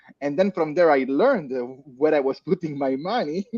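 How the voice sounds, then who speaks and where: A medium-pitched man with an Italian accent, in a dry, close sound with no echo. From Italy. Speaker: crypto community leader. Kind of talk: panel discussion. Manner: halting, many fillers.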